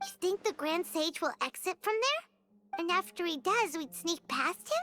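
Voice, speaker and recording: An extremely high, squeaky put-on character voice plays over music in the background. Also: moderate pace. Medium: video game. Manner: excitable, blunt.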